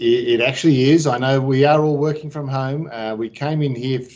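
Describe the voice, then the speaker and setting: Talking at a moderate pace, a man has an Australian accent. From Australia, Sydney. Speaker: business executive. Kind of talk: interview.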